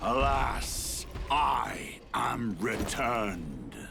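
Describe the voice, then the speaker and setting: A man puts on a character voice at a very deep, low pitch. Clear background noise can be heard. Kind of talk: archaic fantasy drama. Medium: video game. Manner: solemn, formal.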